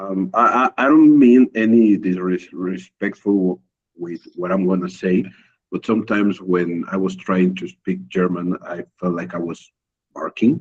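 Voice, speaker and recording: At a fairly slow pace, a man talks in a very deep, low voice. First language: Spanish. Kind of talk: casual group video call chat. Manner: halting, with repetitions.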